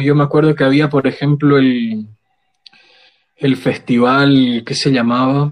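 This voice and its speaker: At a moderate pace, a man with a fairly high pitch speaks in an ordinary speaking voice. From Bolivia, Sucre. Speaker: poet and theatre actor. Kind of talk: casual chat.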